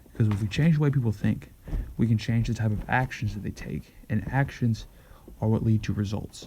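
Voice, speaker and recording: A man talks very fast in a soft-spoken way, his intonation fairly even. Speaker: show host. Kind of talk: monologue. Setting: at home. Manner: halting.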